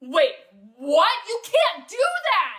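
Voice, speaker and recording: A woman shouts in a put-on character voice. Her pitch swings very widely. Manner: yelling.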